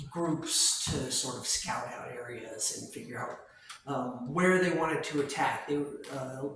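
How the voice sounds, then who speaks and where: A man at a fairly high pitch and very slow pace, with ordinary pitch variation, audible room echo and noticeable background noise. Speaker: museum tour guide. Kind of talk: guided tour explanation. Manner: hesitant, many fillers.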